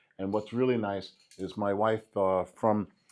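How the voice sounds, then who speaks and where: Ordinary pitch variation marks this voice with a New York accent. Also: man. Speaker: graffiti artist. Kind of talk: interview.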